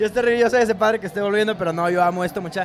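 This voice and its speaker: A man talks at a very fast pace with lively intonation. There is noticeable background noise. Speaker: lawyer and podcast co-host. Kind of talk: casual chat. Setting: live in a bar.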